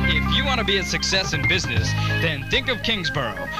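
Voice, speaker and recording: The speech moves at a fairly quick pace over loud music in the background, with a dry sound with no echo. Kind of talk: radio promo / college advertisement. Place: studio.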